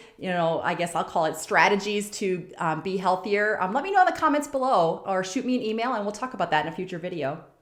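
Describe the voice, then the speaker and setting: A woman with very wide pitch swings, in audible room echo. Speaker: nurse turned CEO, career podcast host. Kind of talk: career advice monologue. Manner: casual, filler-heavy.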